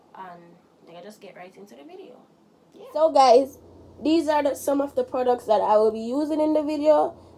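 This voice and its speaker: The voice has lively intonation and big swings in loudness, with noticeable background noise behind it. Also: woman, high pitch for a woman, fairly quick pace. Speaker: cooking vlogger. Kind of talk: cooking tutorial. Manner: casual, chatty.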